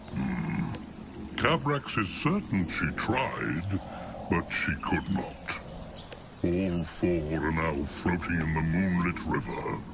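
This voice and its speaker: Amid loud background noise, a man uses a gruff, put-on character voice with a very deep, low pitch. He speaks at a very slow pace. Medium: video game. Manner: blunt, gruff, talks of self in third person.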